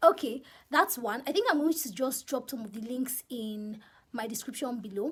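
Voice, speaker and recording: In a Nigerian accent, the speaker uses lively intonation, with big swings in loudness. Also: woman, high pitch for a woman, moderate pace. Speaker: YouTuber. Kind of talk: casual vlog advice.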